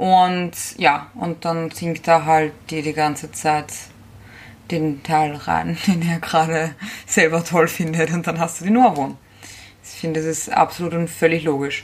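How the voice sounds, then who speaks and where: A woman's fairly low-pitched voice, fairly slow with long, frequent pauses, fairly even in intonation, and with big swings in loudness. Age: 20s. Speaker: podcast co-host. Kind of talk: casual chat.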